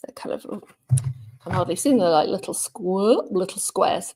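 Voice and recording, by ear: Speaking at a moderate pace, a woman has a slightly mellow tone.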